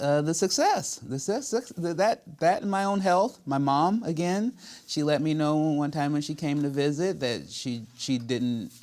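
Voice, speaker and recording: At a fairly slow pace, a man speaks in a fairly high, ordinary speaking voice. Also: lively intonation. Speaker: comedian and voice actor. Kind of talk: interview answer.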